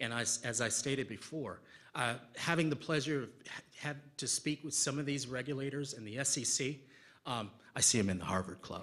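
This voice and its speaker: Talking at a fairly quick pace, a man uses ordinary pitch variation but leaves long, frequent pauses. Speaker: conference speaker. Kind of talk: conference Q&A. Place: hall.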